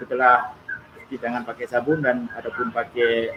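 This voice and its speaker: With an Aceh accent, a man talks at a moderate pace over noticeable background noise. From Aceh, Indonesia. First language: Acehnese (speaking Indonesian). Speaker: YouTuber guest. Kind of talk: live stream casual talk. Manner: halting.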